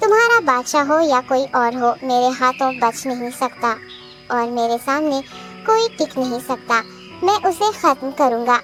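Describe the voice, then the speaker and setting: A female-sounding cartoonish character voice speaks at a moderate pace, with clear music in the background. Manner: deferential, persuasive.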